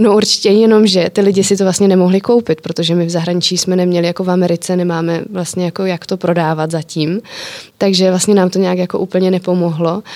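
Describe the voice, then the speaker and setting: Against noticeable background noise, a woman talks at a very fast pace. Her medium-pitched voice stays monotone and flat. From Czech Republic. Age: 20s. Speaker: entrepreneur. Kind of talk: interview.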